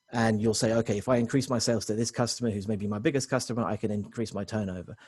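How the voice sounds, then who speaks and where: Talking at a very fast clip, a man uses a medium pitch and a dark, mellow tone. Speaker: technology consultant presenting to business owners. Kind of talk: webinar presentation. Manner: many fillers and restarts.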